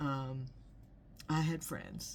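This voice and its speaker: Heard in an American accent, the voice has vocal fry and moves at a very slow pace. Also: woman. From Los Angeles, California. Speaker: inspirational video host. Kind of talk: personal reflection monologue. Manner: halting, many repeated words and fillers.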